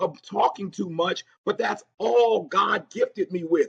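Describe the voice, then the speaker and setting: The recording has a dry, close sound with no echo as a man speaks at a moderate pace. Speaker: motivational speaker. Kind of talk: interview answer. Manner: high-energy, dynamic.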